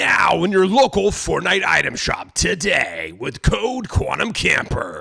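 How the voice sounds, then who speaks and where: A man talks in a put-on character voice, high-pitched for a man, at a fairly slow pace. He hardly pauses, and light background noise sits underneath. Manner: salesy, announcer-like.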